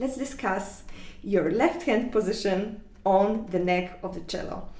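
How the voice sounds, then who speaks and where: Her voice sits at a medium pitch, and this woman speaks with a non-native accent and lively intonation. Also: fairly slow pace. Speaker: cello teacher. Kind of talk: online music lesson talk.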